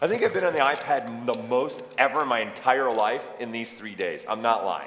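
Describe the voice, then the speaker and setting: A man speaks in an animated tone with ordinary pitch variation, with noticeable background noise and audible room echo. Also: medium pitch for a man, moderate pace. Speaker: event host. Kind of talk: live event presentation. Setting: stage with audience.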